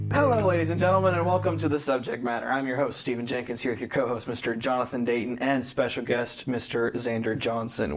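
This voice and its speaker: Noticeable background noise behind a man talking very fast at a medium pitch. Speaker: podcast host. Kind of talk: casual chat.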